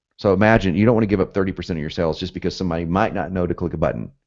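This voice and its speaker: With an American accent, a man talks very fast, and the background stays quiet. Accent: southern US, occasionally northern. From US, both South and North. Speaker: copywriting instructor. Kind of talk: webinar lecture. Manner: fast, animated.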